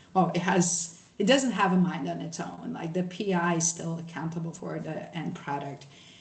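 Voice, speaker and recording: A woman speaks with a Brazilian accent at a fairly low pitch with ordinary pitch variation. Audible room echo fills the recording. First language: Portuguese. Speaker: social scientist, workshop presenter. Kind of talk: workshop presentation with screen share. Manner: casual, many fillers and false starts.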